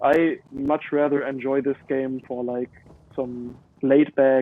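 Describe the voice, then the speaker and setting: A very slow man with a German accent, a fairly high pitch and monotone, flat intonation. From Germany. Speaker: gamer streamer. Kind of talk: live gameplay commentary. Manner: hesitant, many fillers.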